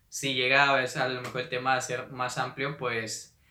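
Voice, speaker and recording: A man's bright, sharp voice with audible room echo. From Mexico, Monterrey, Nuevo León. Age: 20s. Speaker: podcast host and entrepreneur. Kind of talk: solo podcast monologue. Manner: hesitant, many fillers.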